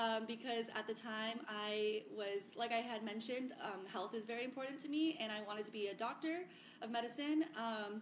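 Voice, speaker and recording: Against noticeable background noise, a woman with an American accent and a fairly high pitch talks at a moderate pace. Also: ordinary pitch variation. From South Florida, US. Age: 30s. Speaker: sustainability advocate. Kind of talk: podcast interview.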